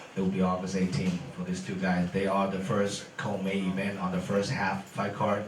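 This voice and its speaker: A man speaks in a fairly low voice with a Chinese accent. Noticeable background noise and audible room echo fill the recording. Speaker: MMA event promoter. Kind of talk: press conference. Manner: halting.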